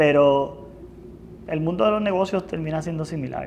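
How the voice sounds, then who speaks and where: A man speaks fairly quickly with normal pitch movement, noticeable noise audible in the background. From Puerto Rico, Lares. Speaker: company finance executive. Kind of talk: interview. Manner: halting, with frequent repetitions and fillers.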